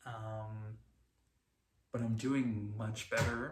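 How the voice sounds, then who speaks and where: Against audible room echo, a somewhat breathy man speaks at a medium pitch in a monotone, flat intonation. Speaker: vlogger. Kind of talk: personal video diary. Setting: talking to a camera, late at night. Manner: halting, repeats words.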